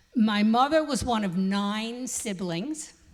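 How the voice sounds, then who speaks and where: In a New York accent, a woman speaks at a very slow pace, somewhat breathy, with fairly high pitch and lively intonation. Audible room echo surrounds her voice. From New York City, the Bronx. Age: 80s+. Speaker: congregant speaker, retired teacher. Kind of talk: personal testimony speech.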